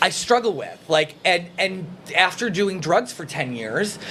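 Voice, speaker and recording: A man talks at a fairly slow pace with a slight Minnesota accent. Noticeable background noise runs behind him. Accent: picking up a slight Minnesota. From Illinois, Chicago area. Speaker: recovering addict sharing his story. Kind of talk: casual chat. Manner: halting, many fillers.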